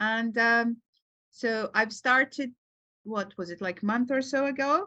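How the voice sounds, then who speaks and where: A woman's bright, sharp, fairly high voice with a Serbian accent, fairly slow pace and ordinary pitch variation over a quiet background. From Serbia, Belgrade. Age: 40s. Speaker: psychologist and writer. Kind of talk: podcast interview. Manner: halting, many fillers.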